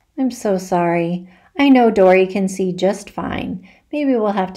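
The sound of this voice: The clip features an unforced reading voice.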